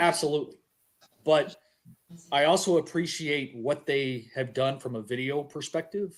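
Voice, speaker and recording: Here is a man with a plain, everyday voice. He keeps a moderate pace and ordinary pitch variation. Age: 40s. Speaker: podcast host. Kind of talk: casual chat.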